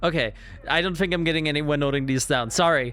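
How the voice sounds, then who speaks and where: A bright, sharp tone with a German accent. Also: man. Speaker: gaming streamer. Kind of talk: let's play commentary.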